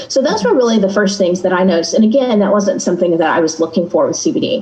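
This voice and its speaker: A woman with a Texan accent talks at a very fast pace, her medium-pitched voice lively in intonation, amid noticeable background noise. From Texas. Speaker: guest sharing a personal experience. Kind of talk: casual chat.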